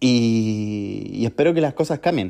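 In a Chilean accent, a man with a dark, mellow tone speaks at a fairly slow pace with lively intonation over a quiet background. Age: 20s. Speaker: podcaster. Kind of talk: personal monologue. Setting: recording alone at home.

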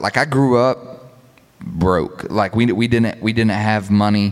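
A man's plain, everyday voice, fairly low in pitch, with an American accent and a fairly slow pace. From US South, South Georgia. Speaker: clothing brand founder. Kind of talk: casual interview. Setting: live stage with audience.

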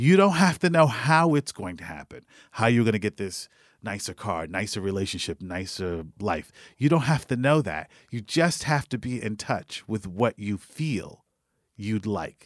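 On a very clean recording with a silent background and a dry, close sound with no echo, a man with an American accent speaks at a moderate pace in a fairly low pitch with very wide pitch swings. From New York City. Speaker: wealth coach and stock market investor. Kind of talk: interview.

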